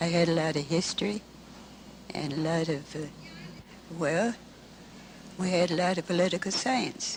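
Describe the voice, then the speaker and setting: A woman with an American accent, fairly low in pitch with ordinary pitch variation, long and frequent pauses, and noticeable background noise. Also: moderate pace. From Michigan, Lansing. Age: 80s+. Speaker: elderly witness recounting family history. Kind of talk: interview.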